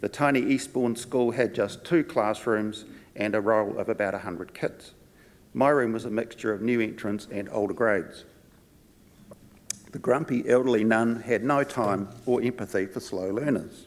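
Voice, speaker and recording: At a moderate pace, a man speaks with a New Zealand accent and ordinary pitch variation. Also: medium pitch for a man. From New Zealand, Palmerston North and Wellington. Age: 60s. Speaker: conference speaker, former physiotherapist and wine tour guide. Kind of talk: conference talk.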